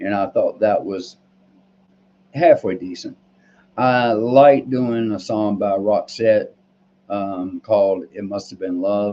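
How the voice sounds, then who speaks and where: A man's fairly low-pitched voice at a very slow pace, with ordinary pitch variation, big swings in loudness and long, frequent pauses. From US South, North Carolina. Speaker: vlogger, Marine Corps veteran. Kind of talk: casual vlog monologue. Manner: halting, many fillers.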